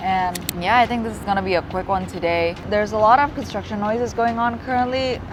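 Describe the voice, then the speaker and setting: In a room with audible echo and noticeable background noise, a woman speaks very fast at a medium pitch with ordinary pitch variation. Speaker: urban sketching youtuber. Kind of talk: casual vlog tutorial. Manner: casual, filler-heavy.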